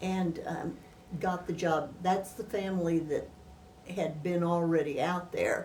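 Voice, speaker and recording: At a very slow pace, a woman with an American accent speaks at a medium pitch, with audible room echo and noticeable background noise. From northern Missouri, US Midwest. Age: 80s+. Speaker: retired teacher, oral history interviewee. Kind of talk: oral history interview. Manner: halting.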